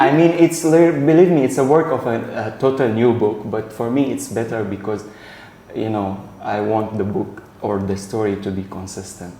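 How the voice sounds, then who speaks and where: Amid noticeable background noise and audible room echo, a man talks at a moderate pace in a medium pitch with lively intonation. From Syria. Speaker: novelist. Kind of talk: interview. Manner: halting.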